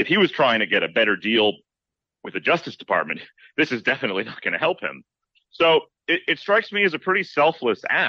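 Talking at a very fast pace, a man with a fairly high pitch and vocal fry swings his pitch very widely. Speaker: journalist. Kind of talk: radio interview.

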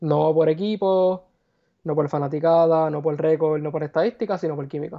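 A man with an ordinary speaking voice, fairly high in pitch, with fairly even intonation. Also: moderate pace. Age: 20s. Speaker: sports broadcasting student, podcast guest. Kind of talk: casual sports talk.

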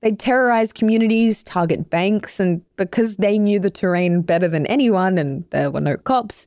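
A woman with an Australian accent speaks at medium pitch and a moderate pace with ordinary pitch variation. Her tone is dark and mellow, on a very clean recording with a silent background. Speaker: podcast host. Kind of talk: scripted narration. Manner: animated.

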